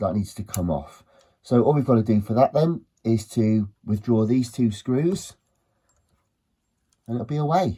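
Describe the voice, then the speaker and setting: Somewhat breathy, a man talks at a moderate pace with long, frequent pauses. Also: medium pitch for a man, lively intonation. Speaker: electronics repairer. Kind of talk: repair tutorial narration. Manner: casual, chatty.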